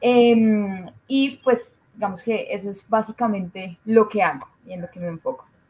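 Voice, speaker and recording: With a Colombian accent, a woman speaks somewhat breathily at a fairly slow pace, her fairly high pitch showing ordinary variation while her loudness swings widely. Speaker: doctor and public health researcher. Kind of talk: interview.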